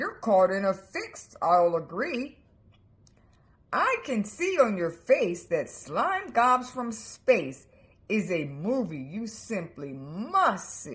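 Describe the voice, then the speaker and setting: Speaking very slowly, a female-sounding voice at a medium pitch puts on a character voice. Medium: read story. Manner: polite, coaxing.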